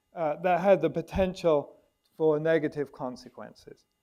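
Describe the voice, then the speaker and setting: A man with a British accent and a dark, mellow tone, fairly high in pitch, at a moderate pace with ordinary pitch variation. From Britain. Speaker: biologist and nonprofit director, debate panelist. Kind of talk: panel debate opening statement. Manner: halting, many fillers and restarts.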